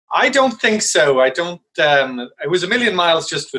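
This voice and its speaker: Here is a man with an Irish accent. His tone is bright and sharp. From Ireland. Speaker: investor. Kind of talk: panel discussion.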